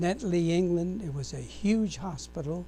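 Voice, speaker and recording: A man talks with an American accent. Behind him, music is playing. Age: 90s. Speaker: war veteran. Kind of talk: oral history interview. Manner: halting.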